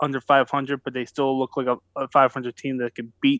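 A man with an American accent talks at a fairly slow pace and medium pitch in a normal speaking voice. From US, Philadelphia. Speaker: baseball reporter. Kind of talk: casual chat; interview.

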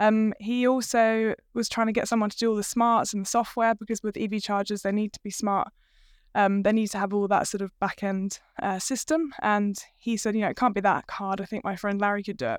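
In a British accent, a woman speaks at a medium pitch with fairly even intonation, the sound dry and close with no echo. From UK. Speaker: business co-founder. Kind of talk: casual interview chat.

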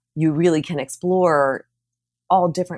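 With an American accent and a very deep, low pitch, a woman speaks with ordinary pitch variation in a dry, close sound with no echo on a very clean recording with a silent background. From Pennsylvania, Philadelphia suburbs. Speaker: communications professional. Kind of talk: casual interview.

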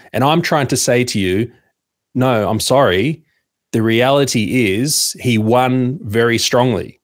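Very clean and silent behind him, the recording captures a man of medium pitch with an Australian accent, talking fairly slowly at a very even loudness with ordinary pitch variation. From Sydney, Australia. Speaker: media founder and podcaster. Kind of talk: casual interview chat.

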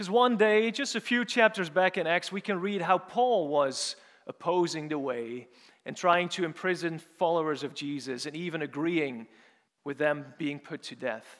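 On a very clean recording with a silent background, a man with a Dutch accent speaks at a moderate pace in a high pitch with lively intonation. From Netherlands, Urk. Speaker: preacher. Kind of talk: sermon. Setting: church.

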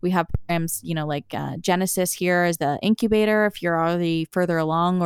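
Recorded very cleanly with a silent background and a dry, close sound with no echo, a woman with a Canadian Maritime accent and a fairly low pitch speaks at a fairly quick pace with ordinary pitch variation and hardly any pauses. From Prince Edward Island, Canada. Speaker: med-tech startup founder and PhD researcher. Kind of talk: interview.

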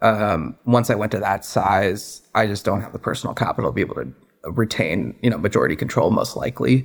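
A man in a General American accent has a normal speaking voice and lively intonation. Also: fairly low pitch for a man, fairly quick pace. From US Pacific Northwest (Seattle area, Redmond). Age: 20s. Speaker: business owner, former private equity investor. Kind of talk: interview.

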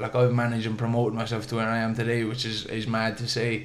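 With a Munster accent, a man talks at a fairly quick pace in a room with audible echo. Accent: southern Irish (Waterford). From Ireland, Waterford. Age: 20s. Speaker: professional boxer. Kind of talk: interview storytelling.

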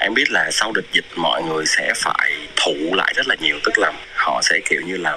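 With noticeable background noise present, this man keeps a moderate pace. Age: 20s. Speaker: barista trainer. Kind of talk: interview.

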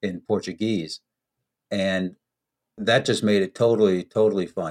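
A man with an American accent speaks at a moderate pace in a normal speaking voice. His fairly low pitch comes through with a dry, close sound with no echo. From United States. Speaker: entrepreneur and teacher. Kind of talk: interview.

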